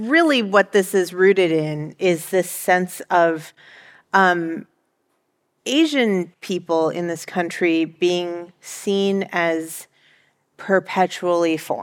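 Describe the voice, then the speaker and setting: Using an ordinary speaking voice, a woman talks with an American accent at a fairly low pitch. The recording is very clean, with a silent background. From Northern Virginia, US. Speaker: historian. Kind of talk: panel discussion. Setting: stage with audience.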